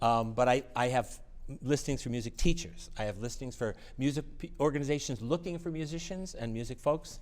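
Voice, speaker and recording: A man talks fairly quickly at a medium pitch. He has a normal speaking voice with ordinary pitch variation. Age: 60s. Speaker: music network organizer and piano technician. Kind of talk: interview.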